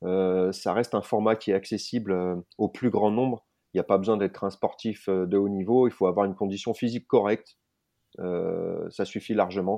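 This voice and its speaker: The speaker is a man with a fairly low pitch. His delivery is monotone and flat, at a moderate pace. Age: 40s. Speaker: adventurer and bushcraft instructor. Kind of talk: interview.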